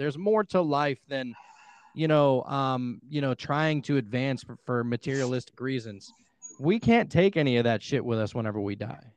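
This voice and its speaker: Speaking at a moderate pace with an American accent, a man uses a normal speaking voice pitched fairly high. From Pittsburgh, US. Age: 20s. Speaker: podcaster and hypnotherapist. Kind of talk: casual chat.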